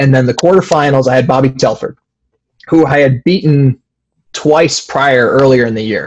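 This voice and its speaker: A man speaks in a plain, everyday voice, fairly high-pitched, at a moderate pace, with ordinary pitch variation. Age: 20s. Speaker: wrestler. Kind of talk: interview.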